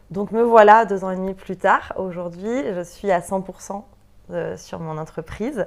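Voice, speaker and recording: With fairly even intonation, a woman speaks in a plain, everyday voice. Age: 30s. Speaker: entrepreneur in interior decoration, former nursery director. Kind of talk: interview. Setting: studio.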